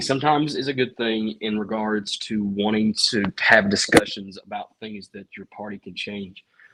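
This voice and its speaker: A man's fairly low voice with a Southern accent, at a moderate pace. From US South, Appalachia (East Tennessee). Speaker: local politician. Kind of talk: podcast interview. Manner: halting, many repeated words.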